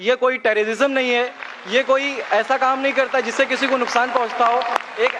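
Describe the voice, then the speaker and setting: Over crowd noise, a man projects a raised voice at an extremely high pitch, speaking at a moderate pace with monotone, flat intonation. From eastern Uttar Pradesh, India. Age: 20s. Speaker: audience member sharing his story. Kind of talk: public testimony.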